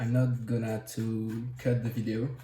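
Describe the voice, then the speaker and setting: A man's medium-pitched voice, monotone and flat, at a very slow pace, with audible room echo. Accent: French. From France. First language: French. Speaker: tech hobbyist. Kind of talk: tutorial. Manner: halting.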